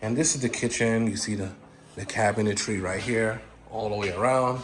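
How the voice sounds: Against strong room echo, a man speaks at a moderate pace with fairly low pitch and fairly even intonation.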